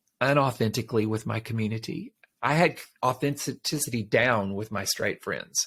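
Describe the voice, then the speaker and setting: An unremarkable speaking voice from a man, medium in pitch with ordinary pitch variation, at a moderate pace, on a very clean recording with a silent background. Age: 60s. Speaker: life coach and podcast host. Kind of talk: interview testimony.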